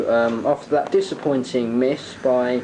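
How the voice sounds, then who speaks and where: At a medium pitch, a man talks fairly slowly with ordinary pitch variation. Noticeable noise sits in the background. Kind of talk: sports commentary. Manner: hushed, excited play-by-play, mock-serious and theatrical.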